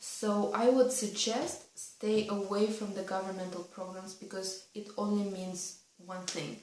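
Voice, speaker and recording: With a Russian accent, a woman at medium pitch talks at a fairly slow pace with fairly even intonation and big swings in loudness, amid noticeable background noise and audible room echo. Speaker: vlogger. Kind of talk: casual vlog advice talk.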